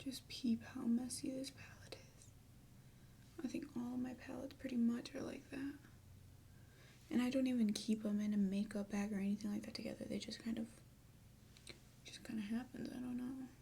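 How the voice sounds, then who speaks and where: Soft-spoken and fairly quick, the speaker leaves long, frequent pauses. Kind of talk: ASMR makeup tutorial.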